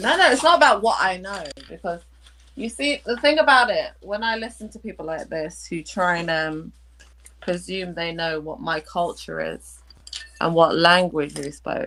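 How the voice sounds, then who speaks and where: Speaking at a moderate pace, a woman with a British accent has a medium pitch, lively intonation, a bright, sharp tone and big swings in loudness. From Kenya. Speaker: caller. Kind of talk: heated debate. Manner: animated.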